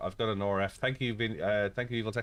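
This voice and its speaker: In an Irish accent, a man talks at a very fast pace with a fairly low pitch. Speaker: sim racing streamer. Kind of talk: live stream chat with co-player. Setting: live stream with voice chat. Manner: casual, animated.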